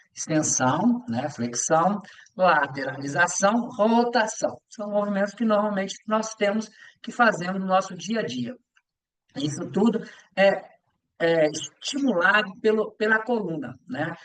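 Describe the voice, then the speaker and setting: A man speaks at a fairly slow pace in a high voice with lively intonation. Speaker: yoga teacher and physical education teacher. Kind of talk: lecture. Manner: halting with many fillers.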